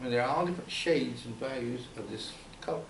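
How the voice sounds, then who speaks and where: The speaker uses an American accent and lively intonation. There is audible room echo and light background noise. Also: man. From rural Kentucky. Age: 60s. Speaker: fantasy artist; artist giving demonstration. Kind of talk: live drawing demonstration; informal talk to audience. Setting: university library event with audience. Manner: casual, hesitant with fillers. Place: classroom. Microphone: camera far.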